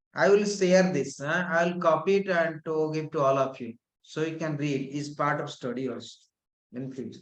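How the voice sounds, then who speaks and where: Audible room echo around a fairly high-pitched man speaking at a moderate pace. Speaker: yoga and tantra teacher. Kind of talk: lecture. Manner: calm.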